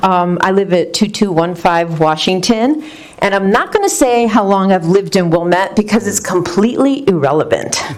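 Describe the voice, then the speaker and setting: Noticeable background noise sits behind a woman speaking at a moderate pace. Her medium-pitched voice has very even loudness and ordinary pitch variation. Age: 60s. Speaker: resident speaking at public comment. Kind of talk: public comment at a board meeting.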